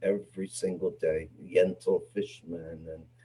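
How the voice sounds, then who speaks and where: Somewhat breathy, the voice also has a dark, mellow tone. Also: man. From Canada, Montreal. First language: Yiddish. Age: 70s. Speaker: theater and film producer. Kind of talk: interview conversation. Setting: video call. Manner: halting.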